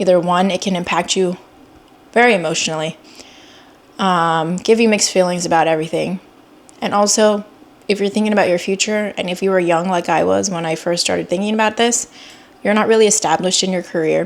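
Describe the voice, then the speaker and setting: A woman speaks at a fairly quick pace in a medium pitch. Her intonation stays fairly even, and she takes long, frequent pauses. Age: 30s. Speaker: vlogger and pediatric oncology nurse. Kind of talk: personal vlog. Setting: self-filmed on camera. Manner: unscripted, conversational with fillers.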